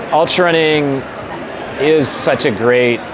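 With noticeable background noise behind him, a man talks at a fairly slow pace with ordinary pitch variation. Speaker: interviewee. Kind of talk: interview answer. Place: hall. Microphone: lapel.

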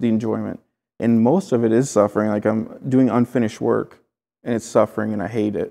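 Over a quiet background, a man with a Midwestern accent speaks at a moderate pace in a medium pitch, his dark, mellow tone held to a monotone, flat intonation. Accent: American Midwest. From Clinton, Iowa, USA. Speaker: painter and tattoo artist. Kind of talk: interview answer. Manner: casual, conversational. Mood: reflective, candid, some swearing. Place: home room. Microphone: lapel.

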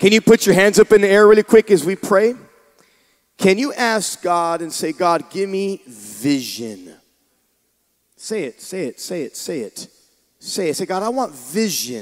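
Against a quiet background, a man speaks at a fairly slow pace with long, frequent pauses and a high pitch. His tone is animated, his intonation lively, and his loudness swings widely. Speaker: pastor. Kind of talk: sermon. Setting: church with congregation. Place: church. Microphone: handheld.

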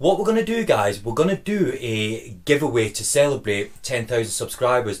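At a moderate pace, a somewhat breathy man speaks with very wide pitch swings over a quiet background. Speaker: vlogger. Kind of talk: casual vlog chat. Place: home room.

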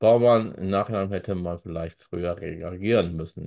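There is a quiet background as a man speaks with ordinary pitch variation. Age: 40s. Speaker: football YouTuber and author; football YouTuber. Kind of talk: solo commentary with read-aloud articles. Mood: critical, conversational. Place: home room.

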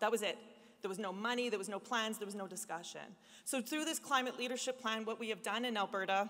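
Against a quiet background, a woman with a Canadian accent uses an ordinary speaking voice, fairly high in pitch with fairly even intonation. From Canada. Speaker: labour union leader; panelist. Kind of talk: speech. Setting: stage with audience. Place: hall.

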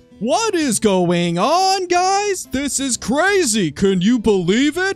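A man uses a put-on character voice at an extremely high pitch with very wide pitch swings. He talks at a very slow pace over clear music in the background. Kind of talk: hyped gamer talk. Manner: over-exaggerated, excited.

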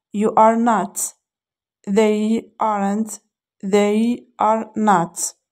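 A woman's fairly high voice, monotone and flat, at a very slow pace over a very clean recording with a silent background. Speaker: English teacher. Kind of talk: tutorial.

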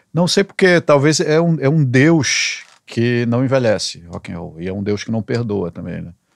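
Against a quiet background, the sound is dry with no echo. A man talks at a moderate pace with lively intonation. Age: 60s. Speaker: songwriter; guest. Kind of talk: casual chat. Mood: relaxed, amused. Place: studio. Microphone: studio mic.

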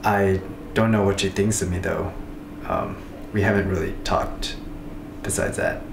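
Moderate pace against noticeable background noise. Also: man. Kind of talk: confessional interview to camera. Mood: shy, hesitant, lovestruck. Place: home room. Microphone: camera far.

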